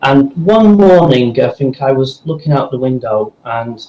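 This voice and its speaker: A dark, mellow, somewhat breathy voice at a fairly slow pace. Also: man. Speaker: voice actor. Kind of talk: casual interview.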